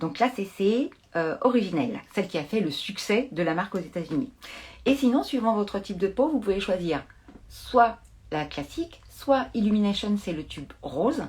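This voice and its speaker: Somewhat breathy, a woman with a medium pitch makes very wide pitch swings. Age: 50s. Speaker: beauty brand expert. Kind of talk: live product demonstration. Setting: live stream from home.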